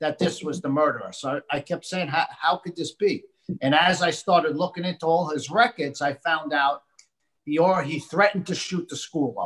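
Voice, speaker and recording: A man with an American accent, high-pitched, with ordinary pitch variation, at a moderate pace over a quiet background. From United States. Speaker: author and gun rights advocate, bereaved parent. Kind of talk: interview discussion. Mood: earnest, intense. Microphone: webcam.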